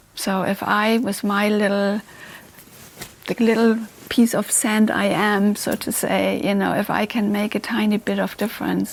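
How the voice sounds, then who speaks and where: A woman's monotone, flat voice at a fairly slow pace, with noticeable background noise. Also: medium pitch for a woman. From Germany, Hamburg. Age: 60s. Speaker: entrepreneur and philanthropist. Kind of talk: interview.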